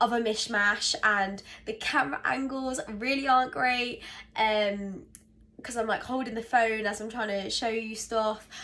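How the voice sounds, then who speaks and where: A woman with a British accent speaks at a moderate pace with a bright, sharp tone. Her pitch is fairly high, with ordinary variation. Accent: English (UK). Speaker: vlogger. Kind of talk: casual vlog talk to camera. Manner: hesitant, many fillers.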